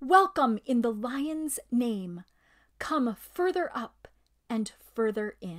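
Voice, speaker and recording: A woman puts on a shrill character voice, high in pitch and very slow in pace. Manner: courtly, welcoming.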